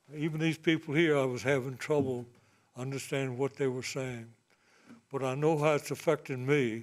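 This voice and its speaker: With a Virginia accent, a man speaks at a moderate pace in a medium pitch. His intonation is monotone and flat. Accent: rural Virginia Southern. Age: 80s+. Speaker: landowner giving public comment. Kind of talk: public comment at meeting. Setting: public meeting.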